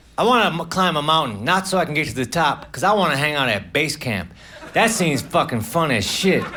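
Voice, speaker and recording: The speaker talks at a fairly quick pace with very wide pitch swings over noticeable background noise. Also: man, fairly high pitch for a man. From United States. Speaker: stand-up comedian. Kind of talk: stand-up comedy set.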